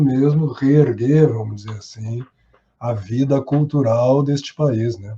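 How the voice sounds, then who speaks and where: Somewhat breathy and dark, mellow in tone, the voice goes at a fairly slow pace with ordinary pitch variation. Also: man. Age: 60s. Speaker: actor and theatre teacher. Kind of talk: podcast interview.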